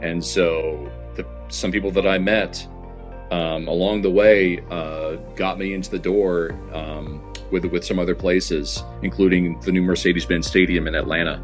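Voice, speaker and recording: Over music in the background, a man with a very deep, low pitch speaks at a moderate pace with lively intonation. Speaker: baseball stadium public address announcer. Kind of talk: casual interview answer. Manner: conversational, hesitant with filler words.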